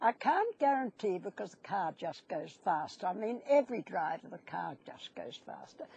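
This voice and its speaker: A woman's medium-pitched, somewhat breathy voice at a moderate pace, with very wide pitch swings and a dry, close sound with no echo. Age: 80s+. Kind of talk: interview answer.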